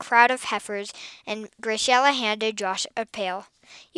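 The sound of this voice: The speaker uses an unforced reading voice.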